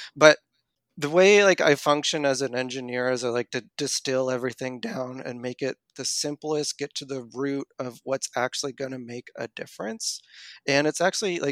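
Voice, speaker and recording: A man with a Maritime Canadian accent speaks at a fairly high pitch and a moderate pace, with ordinary pitch variation. The sound is dry and close, with no echo. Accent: Canadian (Maritimes). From Canada, Nova Scotia. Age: 30s. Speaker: running coach and engineer. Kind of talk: interview conversation.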